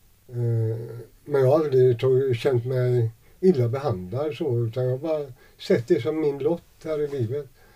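A man's somewhat breathy, dark, mellow voice at medium pitch, with ordinary pitch variation and a fairly slow pace. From Sweden, Gothenburg (Gamlestaden). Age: 60s. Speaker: homeless man. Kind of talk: interview testimony. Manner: halting.

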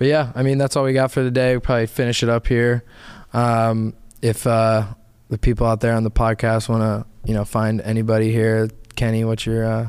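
With an American accent, a man speaks fairly quickly in a flat monotone at very even loudness, on a very clean recording with a silent background. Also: medium pitch for a man. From Northeast Ohio (Akron). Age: 20s. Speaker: solar sales manager. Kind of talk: casual chat.

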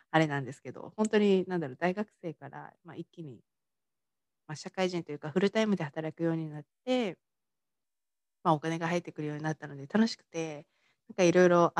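A woman talks very fast at a fairly low pitch with ordinary pitch variation, big swings in loudness, and a dry, close sound with no echo. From Tochigi, Japan. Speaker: mindset coach and podcaster. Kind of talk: solo podcast monologue. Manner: casual, many fillers. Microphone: work laptop, may be hard to hear.

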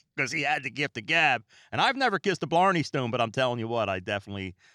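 Recorded very cleanly over a silent background, a man speaks with a bright, sharp tone. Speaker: podcast host. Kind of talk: solo podcast monologue. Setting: home recording room. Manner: calm, relaxed; fast-paced at times.

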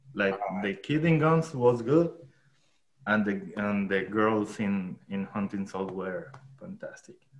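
A man with a Spanish accent talks at a fairly slow pace. His fairly low voice has lively intonation. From Colombia. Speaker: filmmaker and cinematographer. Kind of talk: casual chat. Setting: video call. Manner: halting.

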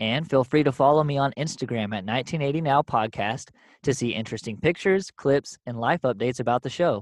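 A man at medium pitch speaks very fast with ordinary pitch variation, the sound dry and close with no echo against a quiet background. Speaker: podcast host. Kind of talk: casual interview. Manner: friendly, casual.

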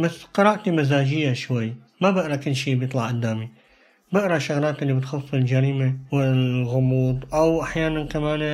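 A man talks at a moderate pace in a normal speaking voice. His pitch is fairly high, with ordinary pitch variation. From Syria. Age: 20s. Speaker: student. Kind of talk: casual chat.

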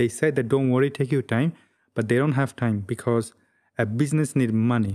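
A man's dark, mellow voice with a non-native accent at a fairly quick pace. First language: not English. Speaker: YouTuber, travel and photo video creator. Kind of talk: solo vlog monologue. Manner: reserved expression despite inner excitement; frequent fillers (um, uh, well, like).

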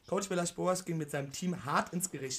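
A man speaks at a fairly quick pace in a plain, everyday voice. His pitch is fairly high, with ordinary variation. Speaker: football podcast co-host. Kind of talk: casual chat.

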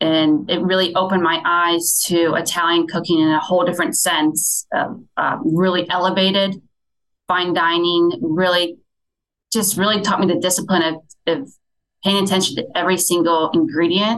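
Using very even loudness and fairly even intonation, a woman with an American accent speaks at a fairly low pitch and a moderate pace. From US Midwest, Fort Wayne, Indiana. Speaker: restaurant chef. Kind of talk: interview.

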